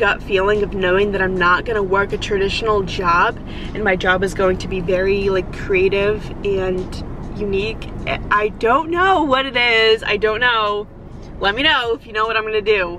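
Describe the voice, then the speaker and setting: A woman talks at a moderate pace with ordinary pitch variation, the sound dry with no echo but with noticeable background noise. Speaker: vlogger. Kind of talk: casual vlog chat. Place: car.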